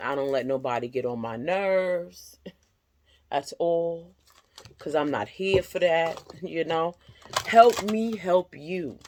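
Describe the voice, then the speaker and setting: The speech moves at a very slow pace with lively intonation and long, frequent pauses. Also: woman, fairly low pitch for a woman. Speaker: tarot reader. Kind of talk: tarot reading monologue.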